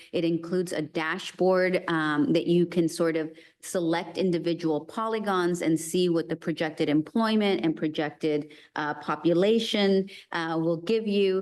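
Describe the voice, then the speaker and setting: A woman in a plain, everyday voice speaks at a moderate pace and fairly low pitch, with fairly even intonation against a quiet background. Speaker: city planning presenter. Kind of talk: presentation to committee; answering questions. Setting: meeting boardroom.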